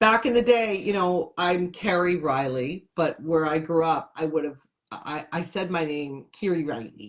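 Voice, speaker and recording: An ordinary speaking voice from a woman with an American accent, fairly low in pitch, fairly slow, with lively intonation. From upstate New York, Syracuse. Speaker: comedian and television host. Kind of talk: casual interview chat.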